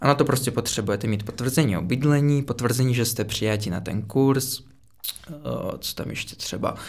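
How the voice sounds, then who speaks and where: A man with a slight Russian accent, at a medium pitch and a moderate pace, with ordinary pitch variation. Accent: barely noticeable Russian. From Russia, Moscow. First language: Russian (speaking Czech). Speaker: podcast guest, former international student. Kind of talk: casual chat.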